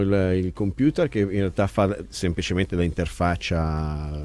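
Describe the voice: Slightly mellow in tone, a man speaks at a fairly slow pace.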